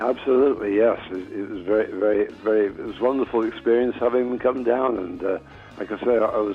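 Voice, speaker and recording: Over music in the background, a man talks at a very fast pace with medium pitch and fairly even intonation. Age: 80s+. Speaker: blues musician. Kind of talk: interview answer.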